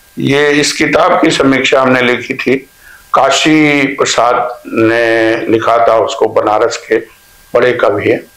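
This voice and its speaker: A man speaks with very even loudness. There is noticeable background noise. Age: 70s. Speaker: poet. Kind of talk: interview.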